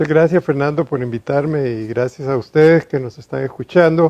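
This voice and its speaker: A man with an unremarkable speaking voice talks at a moderate pace, his pitch fairly high with ordinary pitch variation. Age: 60s. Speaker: engineer and businessman. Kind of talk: testimony.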